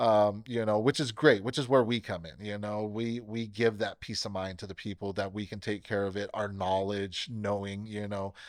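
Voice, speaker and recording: An unremarkable speaking voice, this man with an American accent talks at a moderate pace and fairly low pitch, his intonation fairly even but his loudness swinging widely, on a very clean recording with a silent background. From US West Coast, Bakersfield, California. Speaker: pest control technician. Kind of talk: casual interview.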